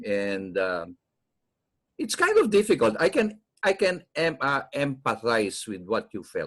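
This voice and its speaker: A man with a Filipino accent, fairly high in pitch, with very wide pitch swings and a fairly slow pace. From Philippines, Quezon City. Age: 60s. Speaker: podcast host. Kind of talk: interview.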